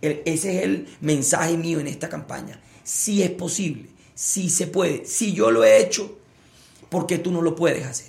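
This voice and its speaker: Noticeable background noise and audible room echo fill this recording. A man talks at a fairly slow pace with a high pitch and ordinary pitch variation. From Colombia, Barranquilla (Caribbean coast). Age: 30s. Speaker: politician, Senate candidate. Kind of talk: political debate. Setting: livestream interview.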